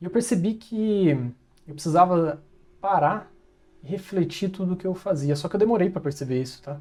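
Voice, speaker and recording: A man speaks at a moderate pace in a dark, mellow tone. His pitch varies in an ordinary way. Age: 30s. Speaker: design business owner, self-improvement vlogger. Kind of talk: motivational monologue. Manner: casual, with hesitations.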